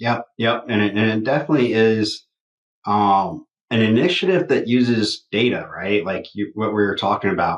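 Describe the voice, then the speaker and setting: Here a man talks at a moderate pace. His pitch is medium, with ordinary variation. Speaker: construction technology podcast co-host. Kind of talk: casual chat.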